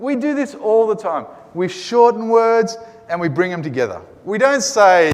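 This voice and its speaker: Speaking with an Australian accent, a man talks at a moderate pace with a high pitch and lively intonation. Noticeable background noise and audible room echo come through. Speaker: Greek teacher. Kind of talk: lecture.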